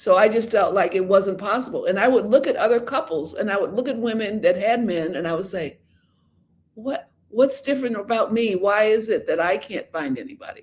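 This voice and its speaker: Lively intonation marks this man's high voice. He speaks at a fairly quick pace. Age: 70s. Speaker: relationship coach and livestreamer. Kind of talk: live stream chat answering viewer questions. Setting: live stream on social media. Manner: halting, many restarts and fillers.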